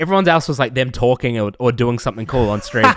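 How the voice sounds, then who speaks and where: Talking at a very fast pace with a New Zealand accent, a man uses lively intonation at a medium pitch, his sound dry and close with no echo. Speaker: streamer. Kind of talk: casual chat.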